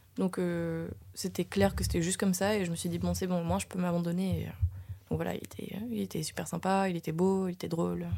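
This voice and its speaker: Over a silent background on a very clean recording, a woman talks at a fairly quick pace. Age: 20s. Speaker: actress and dancer. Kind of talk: casual chat.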